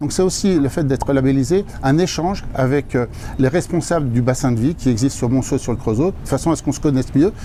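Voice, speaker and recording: A man at a medium pitch and very fast pace, with ordinary pitch variation over noticeable background noise. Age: 60s. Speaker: fast-food franchise owner. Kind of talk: interview. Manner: hesitant, repeats words.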